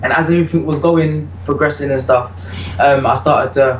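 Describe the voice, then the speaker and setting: With audible room echo and noticeable background noise around him, a man talks fairly quickly. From UK. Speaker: reggae vocalist. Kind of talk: interview.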